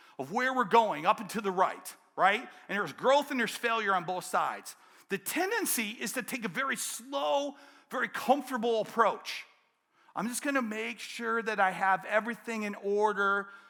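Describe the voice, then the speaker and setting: A man's raised, projected voice, high-pitched and animated, with an American accent, ordinary pitch variation and a moderate pace. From Detroit, Michigan. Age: 60s. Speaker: keynote speaker, business coach. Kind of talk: keynote speech. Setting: conference stage with audience.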